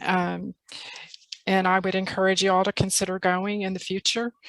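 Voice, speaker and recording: At a fairly quick pace, a woman with a slight Texas accent speaks at a medium pitch, the sound dry and close with no echo. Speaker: literacy tutor presenting a workshop. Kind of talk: workshop presentation on video call. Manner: hesitant, many fillers.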